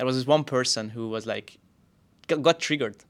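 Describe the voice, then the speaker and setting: Speaking very fast with a Hungarian accent, a man uses a medium pitch and ordinary pitch variation. The recording is very clean, the background silent. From Hungary. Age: 30s. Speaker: podcast co-host and YouTuber. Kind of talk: casual chat.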